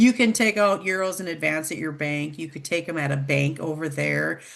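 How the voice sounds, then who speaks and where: A woman's fairly low voice in an Upper Midwest accent, with ordinary pitch variation, a moderate pace and a quiet background. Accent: Upper Midwest American. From Minnesota. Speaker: travel program director. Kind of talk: informational presentation.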